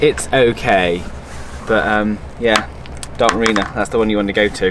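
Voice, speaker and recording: Against noticeable background noise, a man speaks with a fairly low pitch, ordinary pitch variation and very even loudness. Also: moderate pace. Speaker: sailing vlogger. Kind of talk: casual vlog chat. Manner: animated.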